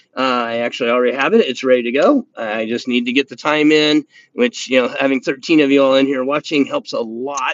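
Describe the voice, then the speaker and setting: A man with an Indiana accent talks at a fairly quick pace with hardly any pauses. His medium pitch stays fairly even in intonation. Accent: Hoosier accent, slips out. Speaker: knife review YouTuber. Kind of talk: live stream chat. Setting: live stream from indoors by window. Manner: halting, many fillers and repeats.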